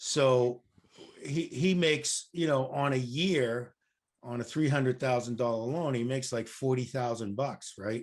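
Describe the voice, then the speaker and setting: It is a plain, everyday voice with ordinary pitch variation. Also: man, medium pitch for a man, fairly slow pace. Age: 60s. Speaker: real estate investor. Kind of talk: casual chat. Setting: podcast interview.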